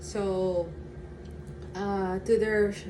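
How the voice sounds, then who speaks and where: With a Filipino accent, a woman at a medium pitch speaks at a very slow pace in a monotone, flat intonation, amid noticeable background noise and audible room echo. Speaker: vlogger. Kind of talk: casual vlog chat. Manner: halting, with fillers and stutters.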